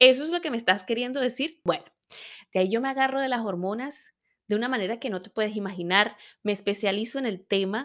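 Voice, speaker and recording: A woman's normal speaking voice, fairly high in pitch with lively intonation, on a very clean recording with a silent background. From Venezuela. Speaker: women's health educator, podcast host. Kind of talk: personal storytelling monologue.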